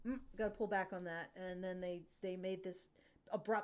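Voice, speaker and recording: A woman with a fairly low pitch speaks at a moderate pace. Her intonation stays fairly even. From Canadian prairies. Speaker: podcast host. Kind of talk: casual panel discussion. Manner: halting, many fillers and restarts.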